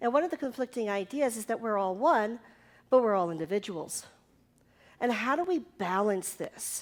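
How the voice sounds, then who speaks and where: Very wide pitch swings at a moderate pace, on a very clean recording with a silent background. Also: woman, fairly high pitch for a woman. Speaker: minister. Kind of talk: sermon. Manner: casual, conversational.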